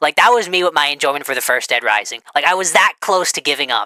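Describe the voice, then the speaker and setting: A woman's very deep, low voice, bright and sharp in tone and animated, with very wide pitch swings, a very fast pace and a dry, close sound with no echo. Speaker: gaming commentator. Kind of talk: casual commentary.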